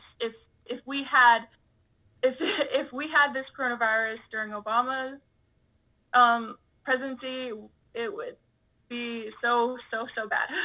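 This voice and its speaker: A woman with an American accent, high in pitch with ordinary pitch variation, at a fairly slow pace, with long, frequent pauses and big swings in loudness. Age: young. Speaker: college student. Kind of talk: interview. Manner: halting.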